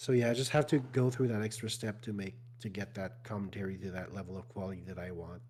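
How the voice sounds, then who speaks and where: Very fast and somewhat breathy, a man talks in a fairly low pitch with ordinary pitch variation. His loudness swings widely. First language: French. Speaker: speedrunner and video creator. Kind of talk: casual chat. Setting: live stream conversation.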